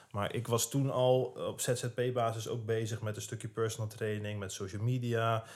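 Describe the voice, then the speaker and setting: A man talks at medium pitch and a moderate pace. He has a plain, everyday voice. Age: 20s. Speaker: fitness influencer. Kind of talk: casual chat.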